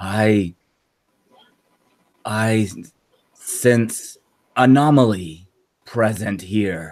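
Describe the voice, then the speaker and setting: A man puts on a gravelly character voice with a fairly low pitch. He speaks very slowly, with long, frequent pauses. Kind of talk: stilted, broken phrasing.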